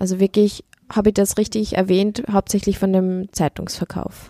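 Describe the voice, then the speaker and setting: Her dark, mellow tone and medium pitch come through on a dry, close recording of a woman with no echo. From Upper Austria. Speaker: podcast host. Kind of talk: interview.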